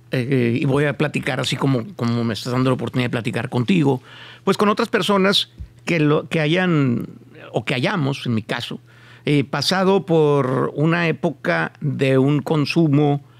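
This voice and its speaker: A man speaks at a fairly slow pace in an ordinary speaking voice. His pitch is fairly high, with ordinary pitch variation. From Mexico. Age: 50s. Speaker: podcast host. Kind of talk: casual interview. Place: studio. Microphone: studio mic.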